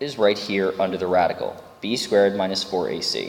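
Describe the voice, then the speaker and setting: The speech moves at a moderate pace, with noticeable background noise and audible room echo. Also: man. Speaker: math teacher. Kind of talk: lecture.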